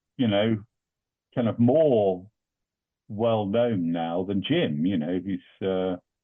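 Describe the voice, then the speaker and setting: A man's fairly low voice at a very slow pace, with ordinary pitch variation and long, frequent pauses. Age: 60s. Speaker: musician. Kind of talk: podcast interview. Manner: hesitant, many fillers.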